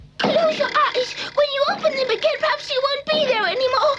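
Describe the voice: An extremely high cartoonish character voice speaks at a fairly quick pace.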